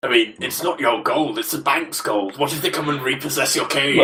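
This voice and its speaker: Using a put-on character voice, a man talks at a fairly high pitch and a fairly quick pace. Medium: audio drama. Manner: chatty, cheeky.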